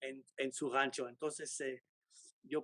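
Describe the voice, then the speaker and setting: Very slowly, a man speaks in a monotone, flat way at a fairly high pitch, the sound dry and close with no echo. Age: 70s. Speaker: sculptor. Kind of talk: interview.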